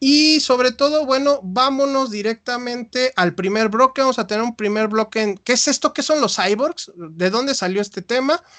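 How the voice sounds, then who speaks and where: Against a quiet background, a man speaks at an extremely high pitch in a bright, sharp tone, with ordinary pitch variation, a moderate pace and a dry, close sound with no echo. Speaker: podcast host, psychologist. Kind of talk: live videopodcast interview. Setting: live stream.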